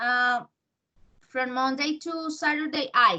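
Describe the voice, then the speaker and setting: A woman with a Spanish accent talks very slowly in a high pitch, her tone bright and sharp and her intonation lively. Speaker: English teacher. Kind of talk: language lesson feedback.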